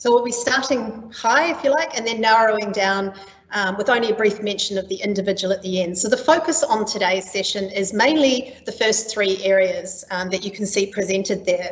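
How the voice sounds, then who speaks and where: A woman with a New Zealand accent speaks at a fairly quick pace with hardly any pauses, her pitch fairly high with ordinary variation. Noticeable background noise runs under her voice. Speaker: training and skills specialist. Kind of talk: webinar presentation. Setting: online webinar. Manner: frequent filler ums.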